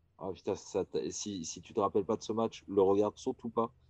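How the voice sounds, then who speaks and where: Dry and close with no echo over a quiet background, a man's fairly low voice has a dark, mellow tone and a fairly slow pace. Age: 40s. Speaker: basketball podcast host. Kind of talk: casual chat.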